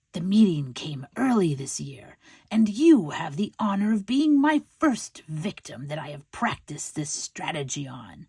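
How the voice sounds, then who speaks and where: A put-on character voice at a middle pitch hisses with a menacing tone, moving at a moderate pace with hardly any pauses in a very clean recording with a silent background. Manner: hissing, menacing.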